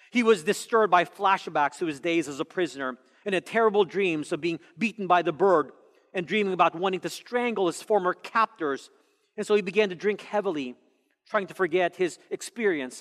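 A man talks at a fairly quick pace with a high pitch and ordinary pitch variation. The background is quiet. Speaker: pastor. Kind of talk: sermon. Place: church. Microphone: headset.

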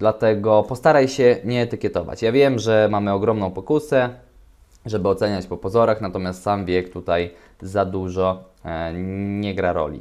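A man talks at a moderate pace with a fairly low pitch and ordinary pitch variation. It is an ordinary speaking voice, set against a quiet background. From Poland. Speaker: relationship coach and video host; relationship advice vlogger. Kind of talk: solo commentary reading forum posts. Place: home room. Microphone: webcam.

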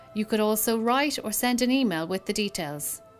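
A woman's fairly high voice at a moderate pace with lively intonation, music playing in the background. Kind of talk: corporate promotional narration explaining an auction house's selling steps. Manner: clear, professional, measured.

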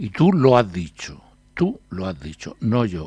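In a dry sound with no echo and a quiet background, a man speaks at a fairly slow pace with very wide pitch swings. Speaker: newspaper columnist. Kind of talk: reading aloud an article and discussing it. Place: studio.

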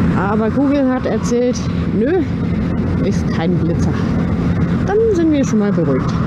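Loud background noise fills the recording. Over it, a woman talks at a fairly slow pace. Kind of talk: casual vlog chat. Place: motorbike. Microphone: helmet.

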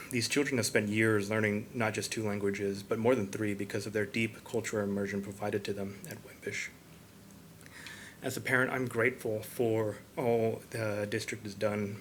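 Here a man talks at a fairly quick pace. His pitch is fairly low and his intonation monotone and flat. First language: Spanish. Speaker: parent speaking at public forum. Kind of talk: public comment at school board meeting. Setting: school board meeting room. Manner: halting, with fillers.

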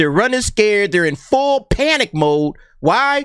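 A man's bright, sharp tone at a moderate pace, with lively intonation, a quiet background and a dry sound with no echo. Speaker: commentary channel host. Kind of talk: commentary. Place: home room. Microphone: studio mic.

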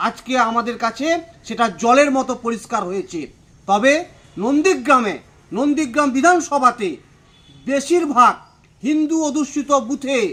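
A man speaks at an extremely high pitch, with ordinary variation in his intonation. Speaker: local party politician. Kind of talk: political statement to press. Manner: emphatic.

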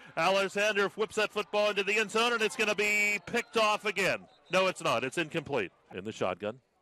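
Bright and sharp in tone, a man speaks fairly quickly in a high, raised, projected voice with ordinary pitch variation. The sound is dry and close, with no echo. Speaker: football play-by-play commentator. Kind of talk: live sports commentary on a football game, cut into highlights. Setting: broadcast over game footage.

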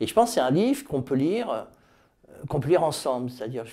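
A voice with a dark, mellow tone speaks at a fairly quick pace against a quiet background. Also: man. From France, Tours; France. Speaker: author. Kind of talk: interview monologue about his book; interview answer. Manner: hesitant, many fillers. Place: office. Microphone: lapel.

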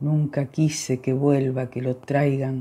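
Speech at a very slow pace comes through on a very clean recording with a silent background. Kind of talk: poetry reading, solemn elegiac verse read aloud. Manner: slow, measured, contemplative with pauses; somber, plaintive, emotionally charged.

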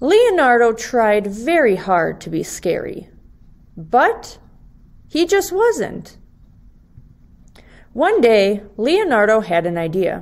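A woman speaks slowly with long, frequent pauses. Her fairly high, slightly mellow voice swings widely in pitch.

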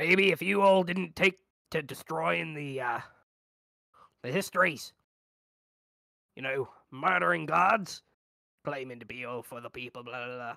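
Putting on a raspy character voice, a man speaks at a moderate pace in a fairly high pitch with very wide pitch swings and long, frequent pauses. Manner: sneering, dismissive.

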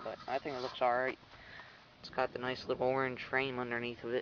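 Over light background noise, a man speaks with monotone, flat intonation in a dry sound with no echo. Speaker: hobbyist tractor restorer. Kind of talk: casual show-and-tell commentary. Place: garden. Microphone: phone near.

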